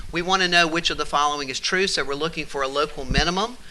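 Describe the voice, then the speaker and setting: Noticeable background noise under a man's fairly high voice. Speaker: math teacher. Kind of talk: tutorial. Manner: animated.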